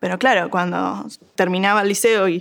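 A woman speaks at a moderate pace with medium pitch. Her intonation stays fairly even. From Uruguay, Montevideo. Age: 20s. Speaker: agronomy student. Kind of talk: interview conversation. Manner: halting.

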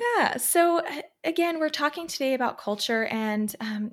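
A woman speaks in a US East Coast accent. Her intonation is lively and her pace moderate. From Pennsylvania, US. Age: 20s. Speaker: occupational therapist and podcast host. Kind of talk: casual chat.

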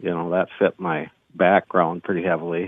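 A man with an Upper Midwest accent at a moderate pace. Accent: Upper Midwest (Minnesota). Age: 60s. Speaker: race car driver. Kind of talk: casual interview.

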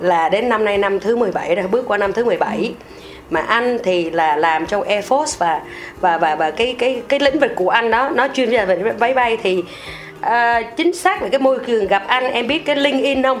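Over background music, a woman with a fairly high voice speaks at a moderate pace, her pitch swinging very widely while her loudness stays very even. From Vietnam. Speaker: fashion company employee. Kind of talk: interview.

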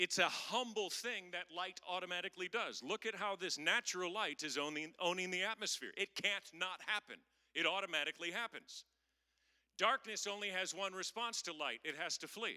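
A man with an American accent speaks in a raised, projected voice at a moderate pace, high in pitch with a bright, sharp tone. His pitch varies in an ordinary way, and the sound is dry and close with no echo. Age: 50s. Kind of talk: sermon. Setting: stage with audience.

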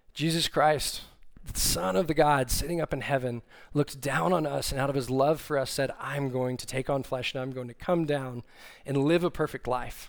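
With an American accent and a normal speaking voice, a man with a fairly high pitch talks at a moderate pace with ordinary pitch variation. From Texas, Austin. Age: 30s. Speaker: young adult ministry staff, preacher. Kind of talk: sermon. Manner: casual with frequent fillers.

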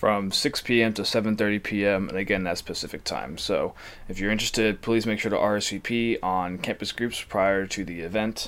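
In a plain, everyday voice, a man speaks at a moderate pace with fairly low pitch and fairly even intonation. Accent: American. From New Jersey. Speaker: student podcast host. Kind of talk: announcements; casual chat. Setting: video call.

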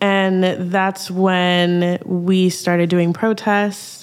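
Against noticeable background noise, a woman speaks in a fairly low voice with monotone, flat intonation. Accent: American. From Minnesota. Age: young. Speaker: artist and community organizer. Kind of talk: podcast interview.

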